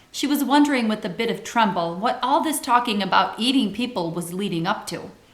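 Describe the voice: The clip is plain reading aloud. Its intonation is lively.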